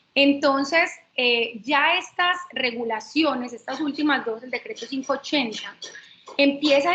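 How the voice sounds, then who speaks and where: A woman with a high pitch uses a raised, projected voice at a very slow pace with ordinary pitch variation. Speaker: lawyer. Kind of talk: webinar lecture. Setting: online webinar.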